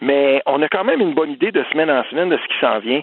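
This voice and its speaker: A man's fairly high voice with lively intonation at a moderate pace, amid noticeable background noise. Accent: Quebec. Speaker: political commentator. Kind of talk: casual chat.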